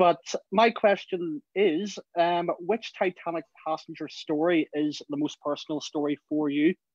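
A high-pitched man with a Belfast accent, at a fairly slow pace with fairly even intonation, dry and close with no echo. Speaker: fan asking a question. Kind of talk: live Q&A on a video call. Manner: halting, many fillers.

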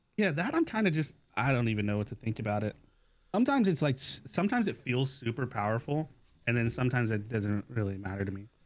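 A man talking very fast, his intonation lively. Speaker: gamer friend. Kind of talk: casual chat. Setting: Discord call. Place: home room. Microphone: studio mic.

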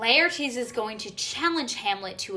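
Lively in intonation, a woman speaks at a fairly slow pace. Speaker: literature summary vlogger. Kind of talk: casual explainer vlog. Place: home room. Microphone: phone near.

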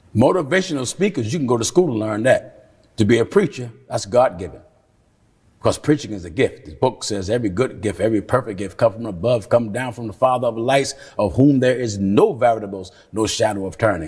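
A man speaks at a medium pitch and fairly quick pace with lively intonation and a somewhat breathy sound. The background is quiet. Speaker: preacher. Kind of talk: sermon answer to questions. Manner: forceful, emphatic. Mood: firm, critical, preaching tone. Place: studio. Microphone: lapel.

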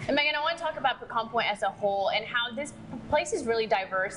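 Fast speech from a woman at a fairly high pitch, with clear background noise

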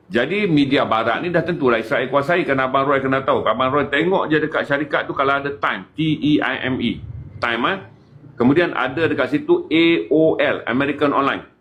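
A man talks fairly quickly in an unremarkable speaking voice. His pitch is fairly high and varies in an ordinary way. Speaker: activist. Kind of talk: casual chat.

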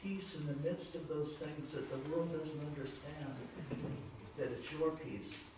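Light background noise and strong room echo. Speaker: congregation member leading prayer. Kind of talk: public prayer. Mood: reverent, earnest. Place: church.

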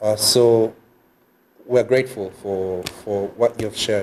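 A man speaks at a fairly slow pace with a fairly low pitch and a dark, mellow tone. His intonation is monotone and flat, with light background noise. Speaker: journalism student; faculty host closing session. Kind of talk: closing prayer. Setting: video call. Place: meeting room. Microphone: podium.

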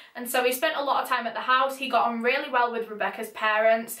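A woman talks at a very fast pace and a high pitch in a flat monotone. Audible room echo surrounds her voice. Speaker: youtuber. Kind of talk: true crime storytelling vlog. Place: home room.

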